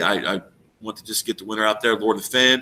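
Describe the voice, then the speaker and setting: A man mumbles at medium pitch and a moderate pace. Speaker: treasure hunting vlogger. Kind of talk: casual video monologue. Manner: mumbling; animated, excited.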